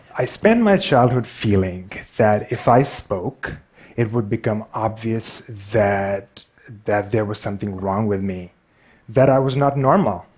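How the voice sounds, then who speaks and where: In a Pakistani accent, a man talks fairly slowly at a fairly low pitch with ordinary pitch variation. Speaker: artist and graphic designer. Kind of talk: public talk. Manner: stutters.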